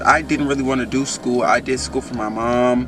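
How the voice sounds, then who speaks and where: Speaking with an American accent, a man is heard in a room with audible echo and noticeable background noise. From Oakland, California. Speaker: college student and vlogger. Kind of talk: casual vlog advice. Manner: soft-spoken.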